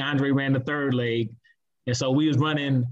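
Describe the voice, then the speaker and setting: Using an ordinary speaking voice, a man with an American accent speaks at a fairly high pitch with fairly even intonation. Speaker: former high school quarterback. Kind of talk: casual chat.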